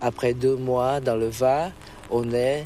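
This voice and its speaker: This man talks at a medium pitch with a Vietnamese accent. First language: Vietnamese (speaking French). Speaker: immigrant interviewee. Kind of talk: testimony.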